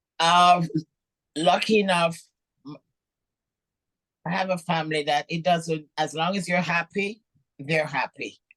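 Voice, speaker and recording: With a Jamaican accent, a woman speaks at a fairly slow pace and fairly low pitch, her intonation fairly even, with long, frequent pauses in a dry, close sound with no echo. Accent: Jamaican, charming. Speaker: professional bodybuilder. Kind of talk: interview. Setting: podcast.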